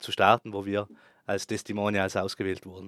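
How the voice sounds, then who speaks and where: In a very clean recording with a silent background and a dry, close sound with no echo, a man with a fairly low pitch talks at a moderate pace. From South Tyrol, Italy (Bozen). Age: 30s. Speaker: ski resort operations manager. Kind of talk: interview. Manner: hesitant, with filler sounds.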